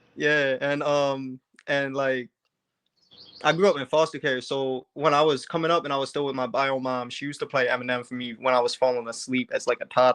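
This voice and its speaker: At a fairly quick pace, a man with a slight Baltimore accent speaks in a fairly high voice with fairly even intonation. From Baltimore, Maryland. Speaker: rapper. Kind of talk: casual interview. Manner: hesitant, many fillers.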